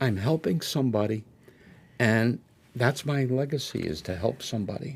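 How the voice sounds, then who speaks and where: A somewhat breathy voice with an American accent at a moderate pace. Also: man, medium pitch for a man, ordinary pitch variation. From Connecticut, US. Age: 70s. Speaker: author. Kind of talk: casual interview chat.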